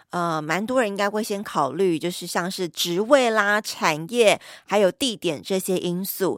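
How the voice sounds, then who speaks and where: The delivery comes at a fairly slow pace with lively intonation. The recording is very clean with a silent background, its sound dry and close with no echo. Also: woman. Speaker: podcast host. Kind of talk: scripted intro narration. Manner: animated.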